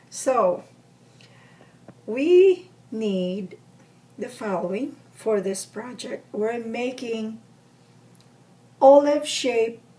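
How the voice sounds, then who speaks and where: A woman with a fairly high pitch speaks very slowly with lively intonation. Noticeable background noise sits behind her. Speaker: crafts tutorial maker. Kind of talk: tutorial. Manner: casual, chatty.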